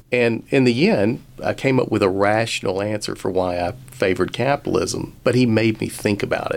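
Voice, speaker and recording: With a Southern US accent, a man talks at a moderate pace and ordinary pitch variation. He leaves hardly any pauses. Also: medium pitch for a man. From rural Alabama. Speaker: business school dean and finance professor. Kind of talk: radio interview.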